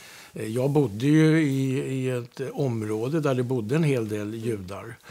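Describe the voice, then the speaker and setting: At a fairly slow pace, a man speaks with a medium pitch, ordinary pitch variation and a dark, mellow tone. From Stockholm, Sweden (Södermalm). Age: 60s. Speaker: interviewee sharing experiences. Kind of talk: casual conversation. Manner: halting, many hesitations.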